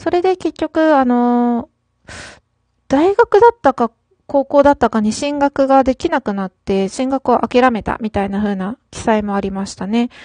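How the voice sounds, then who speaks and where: At a fairly slow pace, a woman speaks in a high pitch with a dark, mellow tone. The sound is dry and close, with no echo. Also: lively intonation. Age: 30s. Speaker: solo podcaster. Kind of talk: casual solo talk. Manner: hesitant, frequent fillers.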